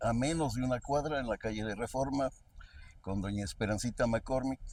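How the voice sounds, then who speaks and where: A man speaks with a central Mexican accent. His pitch is medium and his pace moderate. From Querétaro, Mexico. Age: 80s+. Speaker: state chronicler, historian. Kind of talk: interview, storytelling.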